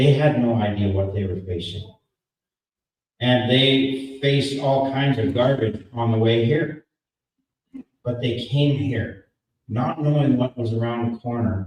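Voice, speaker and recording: Somewhat breathy, a man at medium pitch speaks at a fairly slow pace with ordinary pitch variation and long, frequent pauses. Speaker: political rally speaker. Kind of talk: speech.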